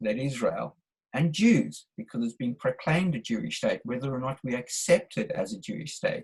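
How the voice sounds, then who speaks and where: A man speaks at a moderate pace. He talks with a South African accent. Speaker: webinar participant. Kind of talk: discussion question. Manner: halting.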